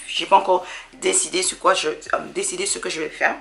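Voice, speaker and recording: A woman speaks over noticeable background noise. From Dominica. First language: English (speaking French). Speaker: sewing hobbyist vlogger. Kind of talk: casual haul vlog. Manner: halting, many fillers.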